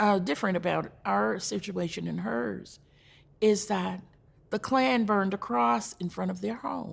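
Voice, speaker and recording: A woman with a North Carolina accent speaks at a fairly slow pace in a very deep, low pitch. Her voice has vocal fry and very wide pitch swings. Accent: Southern US (North Carolina). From US South, North Carolina (Rowan County). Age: 70s. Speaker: community elder speaker. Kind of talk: talk to a church audience, personal history.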